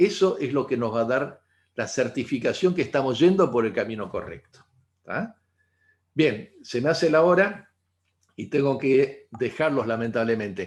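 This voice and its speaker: A man at a medium pitch, a plain, everyday voice, fairly slow pace and lively intonation. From Argentina. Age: 60s. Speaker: integrative therapist. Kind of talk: talk to online audience.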